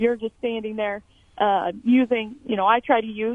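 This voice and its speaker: The speaker has an ordinary speaking voice and a moderate pace. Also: woman. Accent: American. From Emporia, Kansas. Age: 20s. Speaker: competition shooter. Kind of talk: radio interview.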